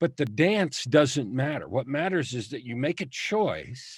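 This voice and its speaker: Recorded very cleanly against a silent background, a man with an unremarkable speaking voice talks at a fairly slow pace, pitched fairly high with lively intonation. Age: 60s. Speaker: author and coach. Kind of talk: testimony.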